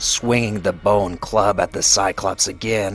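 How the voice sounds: Heard here is a natural reading voice with fairly even intonation.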